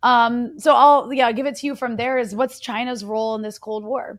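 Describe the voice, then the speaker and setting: With an ordinary speaking voice and an American accent, the speaker keeps a fairly even intonation in a very clean recording with a silent background. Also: woman. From United States. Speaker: podcast host. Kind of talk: interview. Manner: casual, filler-heavy.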